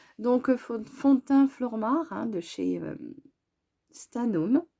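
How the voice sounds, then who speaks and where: A woman's voice has a dark, mellow tone and very wide pitch swings at a very slow pace. The recording is very clean, with a silent background. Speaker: beauty vlogger. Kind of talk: makeup tutorial. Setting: at home. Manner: halting, many hesitations.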